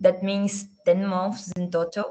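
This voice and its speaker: The speaker talks at a very slow pace. The intonation stays monotone and flat. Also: woman. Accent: Portuguese. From Brazil. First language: Portuguese. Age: 20s. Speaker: architect. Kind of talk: testimony.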